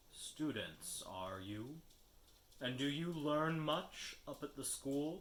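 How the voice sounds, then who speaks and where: A man speaks in a put-on character voice, fairly high in pitch. His pace is very slow. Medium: read story. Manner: sorrowful, slow, cryptic.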